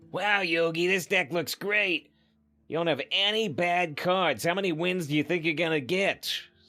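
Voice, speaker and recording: In a cartoonish character voice, a man speaks at a moderate pace with a high pitch, ordinary pitch variation and very even loudness. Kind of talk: exaggerated anime voice.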